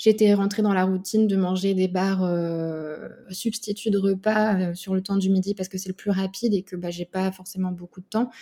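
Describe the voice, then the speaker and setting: A woman's dark, mellow voice holds a medium pitch and flat, monotone intonation. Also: moderate pace. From Burgundy, France. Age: 30s. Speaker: speech therapist, dietetic program patient. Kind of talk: interview testimony. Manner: hesitant, many fillers.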